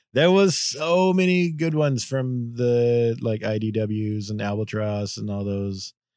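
A normal speaking voice with lively intonation, at a fairly slow pace with hardly any pauses, against a quiet background. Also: man, medium pitch for a man. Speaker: comic book podcast co-host. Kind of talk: casual chat.

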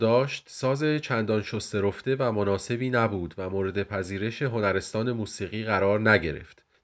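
In a very clean recording with a silent background, a man speaks at a moderate pace with hardly any pauses. He has an ordinary speaking voice, fairly low in pitch, with ordinary pitch variation. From Iran, Tehran. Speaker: podcast host and music researcher. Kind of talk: scripted narration.

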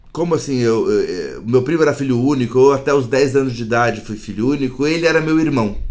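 Audible room echo around a man's voice, medium in pitch, at a moderate pace. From Brazil, central São Paulo. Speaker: jiu-jitsu practitioner, musician, recovering addict. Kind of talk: personal testimony in interview. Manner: halting, repeats words.

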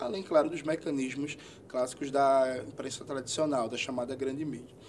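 Noticeable background noise accompanies a man whose voice is fairly high in pitch. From Brazil, Pernambuco (Recife area). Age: 30s. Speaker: politician, history teacher. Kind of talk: interview.

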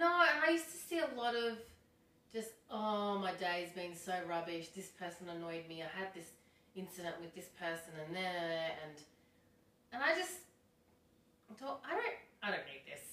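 Amid noticeable background noise, a woman speaks at a moderate pace with long, frequent pauses. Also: medium pitch for a woman, big swings in loudness. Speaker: podcast co-host. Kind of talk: casual chat.

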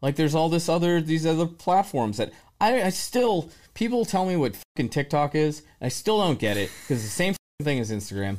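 Very wide pitch swings mark this man's speech. The recording is very clean, with a silent background. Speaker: drummer. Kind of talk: casual chat. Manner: casual, profane.

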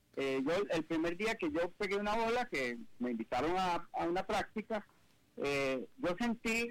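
The intonation is lively as a man speaks. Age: 70s. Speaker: business executive and author. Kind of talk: interview. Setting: video call.

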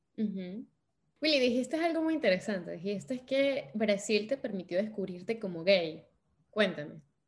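A woman's somewhat breathy voice sits at a medium pitch, moving at a moderate pace through very wide pitch swings. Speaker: podcast host. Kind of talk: casual interview. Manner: animated.

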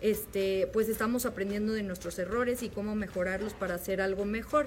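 This woman's voice sits fairly high. She talks with a Mexican accent. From Mexico, León, Guanajuato. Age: 20s. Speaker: industrial engineer and restaurant owner. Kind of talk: video testimony.

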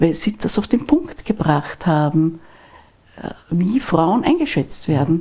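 Very slowly, a woman speaks in a soft-spoken, somewhat breathy way at a fairly low pitch. Her tone is dark and mellow, and her intonation is lively. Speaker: divorce lawyer. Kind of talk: interview conversation.

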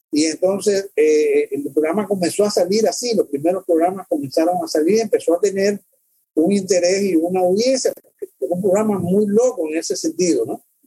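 With a high pitch and ordinary pitch variation, a man talks at a moderate pace in a dry, close sound with no echo. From Cuba (born in El Salvador, raised in Cuba). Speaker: documentary filmmaker. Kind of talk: interview conversation. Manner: halting, many fillers and repetitions.

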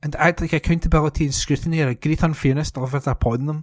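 A fairly quick delivery, very cleanly recorded, background silent. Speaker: volunteer newspaper reader. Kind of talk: reading aloud. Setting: studio.

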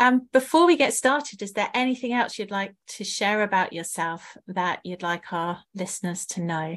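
In a plain, everyday voice, the speaker moves at a moderate pace with lively intonation and hardly any pauses. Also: woman, medium pitch for a woman. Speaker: podcast co-host. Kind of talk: interview conversation.

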